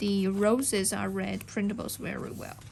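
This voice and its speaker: The speaker is a woman with a non-native accent. Her pitch is medium. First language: not English. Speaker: junk journal crafter. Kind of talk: product show-and-tell tutorial. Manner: halting, with fillers.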